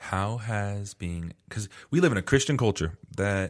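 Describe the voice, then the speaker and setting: This very clean recording has a silent background. A man with an American accent speaks fairly slowly at a fairly low pitch, with ordinary pitch variation. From Arizona. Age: 20s. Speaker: podcast host. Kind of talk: casual chat.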